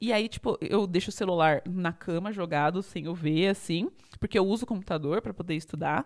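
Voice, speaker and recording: A normal speaking voice at a fairly quick pace, with ordinary pitch variation. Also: woman, fairly low pitch for a woman. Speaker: podcast co-host, math student. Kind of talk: casual chat.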